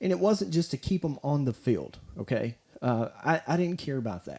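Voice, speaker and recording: A man with an American accent speaks at a moderate pace and a medium pitch. His tone is dark and mellow, and his intonation lively. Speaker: high school sports podcaster, former coach and teacher. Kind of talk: solo podcast commentary. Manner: rambling, halting with many restarts; stuttering when frustrated.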